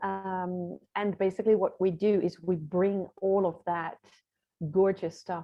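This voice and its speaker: A woman with a Dutch accent, medium pitch, very slow pace and monotone, flat intonation. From Netherlands. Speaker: visibility strategist and author. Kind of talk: interview.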